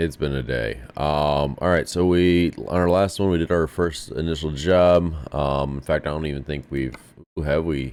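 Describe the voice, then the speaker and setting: Very deep and low in pitch, a man speaks at a moderate pace with ordinary pitch variation. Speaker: gaming streamer and navy veteran. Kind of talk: casual gameplay commentary. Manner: conversational with many fillers.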